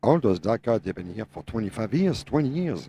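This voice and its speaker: A man's dark, mellow voice with vocal fry and very wide pitch swings, in a dry, close sound with no echo. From France. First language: French. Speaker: truck driver, owner operator. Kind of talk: podcast discussion.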